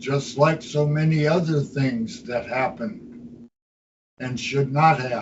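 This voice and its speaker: A somewhat breathy man with a fairly high pitch speaks at a very slow pace. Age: 80s+. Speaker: citizens' assembly leader. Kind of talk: meeting talk. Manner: vehement.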